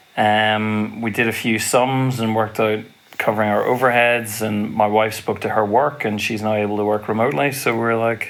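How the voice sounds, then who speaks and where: With monotone, flat intonation, a man speaks at a fairly low pitch and moderate pace while noticeable background noise plays underneath. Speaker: woodworking podcast co-host. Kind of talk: casual chat.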